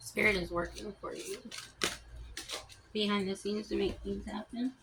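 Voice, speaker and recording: Over noticeable background noise, a woman mumbles at a moderate pace. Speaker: tarot reader. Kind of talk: tarot reading. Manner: mumbling; casual, halting.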